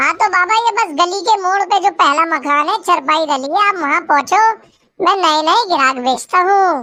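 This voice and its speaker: At a moderate pace and very even loudness, a woman does an extremely high-pitched cartoonish character voice with lively intonation. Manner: cunning, coarse.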